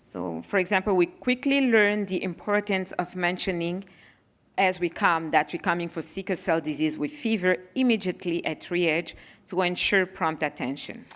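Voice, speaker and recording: In a very clean recording with a silent background, a woman with a French accent talks at a moderate pace, at medium pitch with ordinary pitch variation. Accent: French accent, noticeable. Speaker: parent of child with sickle cell disease. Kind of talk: panel presentation.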